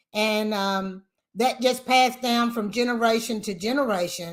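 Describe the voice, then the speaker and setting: A woman's fairly high voice with a Tennessee accent, bright and sharp in tone, at a fairly slow pace with ordinary pitch variation, on a very clean recording with a silent background. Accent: Southern US (Tennessee). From US South, Lynchburg, Tennessee. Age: 60s. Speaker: whiskey brand family representative. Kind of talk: interview. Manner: halting.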